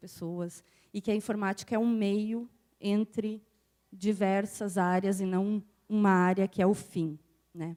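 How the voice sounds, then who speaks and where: A woman's dark, mellow tone in a very clean recording with a silent background and a dry, close sound with no echo. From southern Brazil, Passo Fundo (Rio Grande do Sul). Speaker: university professor, conference speaker. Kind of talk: conference talk. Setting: stage with audience, microphone.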